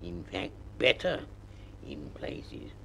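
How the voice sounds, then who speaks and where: Clear background noise behind a man doing a put-on character voice. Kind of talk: children's story reading. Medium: read story. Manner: melancholy, slow, dryly sarcastic.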